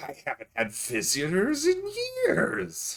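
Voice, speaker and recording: A man puts on a character voice, delivering his lines fairly slowly. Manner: eerie, lonely.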